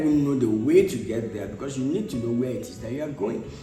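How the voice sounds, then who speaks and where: A man talks very fast, with music playing in the background. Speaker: motivational speaker. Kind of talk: motivational talk. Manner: engaging, conversational, clear.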